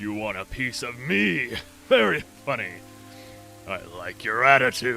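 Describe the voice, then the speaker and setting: Over clear background music, a man uses a put-on character voice at a fairly slow pace, leaving long, frequent pauses. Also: medium pitch for a man. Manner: menacing.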